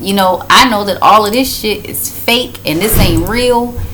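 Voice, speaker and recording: Through audible room echo and noticeable background noise, a woman speaks at a fairly high pitch with ordinary pitch variation. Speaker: vlogger. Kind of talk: casual chat.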